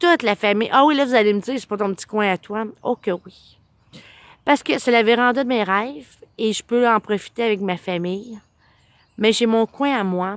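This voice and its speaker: A woman with an unremarkable speaking voice talks with ordinary pitch variation. The recording is very clean, with a silent background and a dry, close sound with no echo. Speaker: vlogger. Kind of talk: casual personal storytelling vlog.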